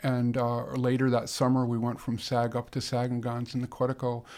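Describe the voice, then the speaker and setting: With an American accent, a man talks at a moderate pace and a medium pitch. His intonation is monotone and flat. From Chicago suburbs. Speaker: wilderness canoeist. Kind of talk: interview. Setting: studio.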